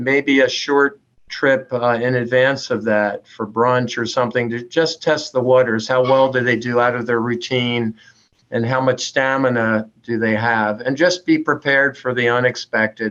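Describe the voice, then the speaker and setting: This man uses an ordinary speaking voice at medium pitch, keeping a moderate pace and fairly even intonation. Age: 60s. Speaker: neurologist. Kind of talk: panel discussion.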